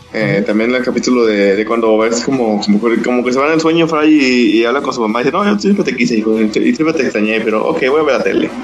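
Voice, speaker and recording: Talking at a very fast pace with hardly any pauses, a man uses ordinary pitch variation over noticeable background noise and audible room echo. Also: medium pitch for a man, very even loudness. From Veracruz, Mexico. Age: 20s. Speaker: podcast co-host. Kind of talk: casual chat.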